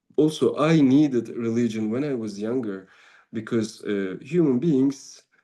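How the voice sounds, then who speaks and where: Against a quiet background, a man with a Turkish accent talks at a fairly slow pace in a dark, mellow tone. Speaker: Sufi teacher and musician. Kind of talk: spiritual talk. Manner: halting.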